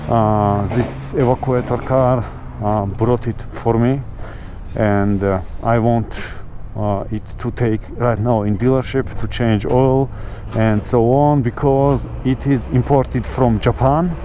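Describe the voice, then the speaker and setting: Background noise is noticeable as a man speaks with a non-native accent. His pace is very slow. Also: medium pitch for a man, ordinary pitch variation. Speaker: motovlogger. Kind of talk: casual motovlog talk while riding. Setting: outdoors, on a motorcycle with clip-on mic. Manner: hesitant, many fillers.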